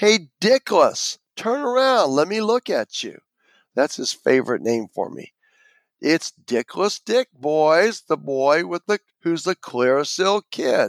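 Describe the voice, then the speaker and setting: With a high pitch and very wide pitch swings, a man talks at a fairly slow pace in a dry, close sound with no echo. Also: very clean recording, silent background. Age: 70s. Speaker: former dance studio owner telling life story. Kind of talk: storytelling interview.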